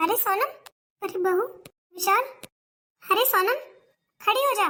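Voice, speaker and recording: In a put-on, squeaky character voice pitched extremely high, a woman talks at a moderate pace. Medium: cartoon. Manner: scolding, blunt.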